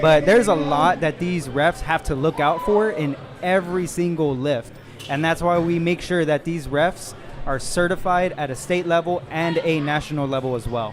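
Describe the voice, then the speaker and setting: Noticeable background noise sits behind a man with a fairly high pitch. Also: ordinary pitch variation, moderate pace. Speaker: powerlifting referee and meet commentator. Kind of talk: live commentary.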